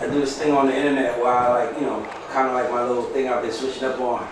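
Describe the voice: A man with a medium pitch talks fast, with little pitch movement. The room echo is audible.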